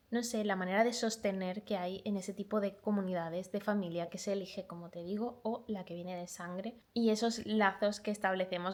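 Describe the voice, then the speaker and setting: With a slight Málaga accent, the speaker talks at a fairly quick pace with fairly even intonation. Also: woman. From Málaga, Andalusia, Spain. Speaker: booktuber. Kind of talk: book review vlog.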